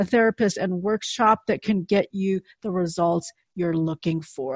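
Heard against a quiet background with a dry, close sound and no echo, a woman speaks at a moderate pace with ordinary pitch variation in a plain, everyday voice. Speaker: podcast host. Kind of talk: interview podcast.

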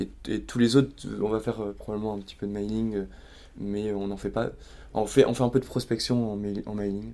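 A man's fairly low, dark and mellow voice at a moderate pace, with fairly even intonation and long, frequent pauses. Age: 30s. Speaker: startup founder. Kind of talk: casual interview. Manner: halting, with frequent repetitions and fillers.

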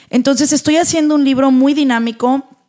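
The woman's intonation stays fairly even as she speaks at a moderate pace. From Mexico, northern Veracruz (Tamiagua). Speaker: entrepreneur and motivational speaker. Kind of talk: interview.

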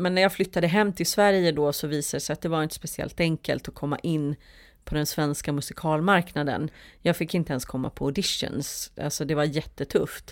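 On a very clean recording with a silent background, a woman talks in a very deep, low pitch with fairly even intonation. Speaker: musical theatre performer and producer. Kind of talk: casual interview.

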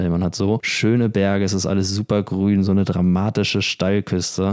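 A man speaks at a moderate pace. His very deep, low voice stays monotone and flat. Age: 20s. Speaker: podcast co-host. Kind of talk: casual chat.

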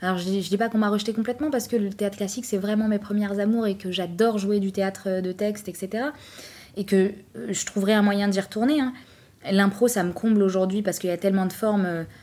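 A woman of medium pitch speaks at a very fast pace with fairly even intonation. Her tone is dark and mellow. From France, Trappes (Yvelines), Algerian heritage. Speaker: actress and improv coach. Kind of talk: casual interview chat. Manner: hesitant, many fillers and repetitions.

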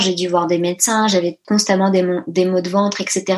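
Over noticeable background noise, a woman with a medium pitch talks at a fairly quick pace. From grew up partly in a dictatorship abroad, then France. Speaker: business coach for entrepreneurs. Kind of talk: casual interview chat. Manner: hesitant with many fillers.

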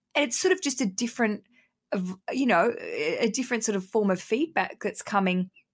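In a very clean recording with a silent background, a woman with an Australian accent talks at a fairly quick pace with fairly high pitch and lively intonation. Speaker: podcaster and comedian. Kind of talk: casual interview. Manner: animated; loud.

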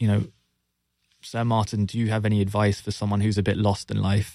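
A man with a London accent speaks in a fairly low voice and a flat monotone, on a very clean recording with a silent background. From London, England. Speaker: marketing executive. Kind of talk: interview. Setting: studio.

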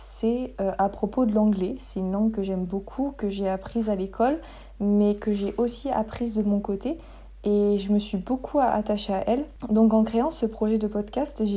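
Fairly high pitched, a woman speaks with fairly even intonation. Her tone is dark and mellow. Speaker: podcast host. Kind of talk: solo monologue. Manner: casual with hesitations; slow careful articulation in English.

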